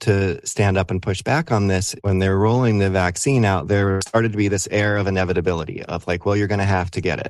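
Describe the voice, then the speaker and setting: Against a quiet background, a man with an ordinary speaking voice talks at a fairly quick pace and a fairly low pitch. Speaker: rock drummer. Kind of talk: casual interview.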